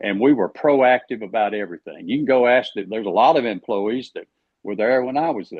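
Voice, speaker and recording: A man with an Alabama accent talks at a fairly quick pace, his medium-pitched voice showing ordinary pitch variation. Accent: Southern US (Alabama). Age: 70s. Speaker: politician, candidate for agriculture commissioner. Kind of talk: podcast interview.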